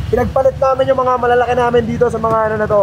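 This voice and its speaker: Over noticeable background noise, a man with a high-pitched voice speaks at a very fast pace. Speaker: vlogger. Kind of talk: travel vlog, casual chat.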